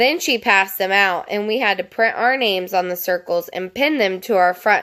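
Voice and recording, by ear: The voice reads out loud and sounds natural.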